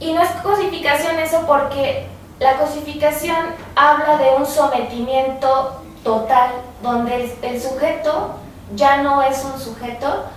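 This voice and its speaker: Amid noticeable background noise and audible room echo, a woman talks at a fairly slow pace. Her pitch is high and her intonation fairly even. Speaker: student researcher. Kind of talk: radio interview.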